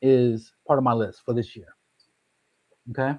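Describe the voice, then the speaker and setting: A man speaks at a medium pitch. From Detroit, US Midwest. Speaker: comic book collector, YouTuber. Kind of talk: casual chat. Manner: fast.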